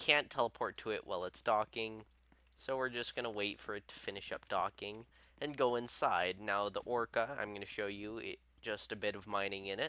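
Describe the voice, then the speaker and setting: The man's voice is fairly low, with a bright, sharp tone and fairly even intonation. He talks at a fairly quick pace, and the sound is dry and close with no echo. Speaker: gaming youtuber. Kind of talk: tutorial. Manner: stuttering.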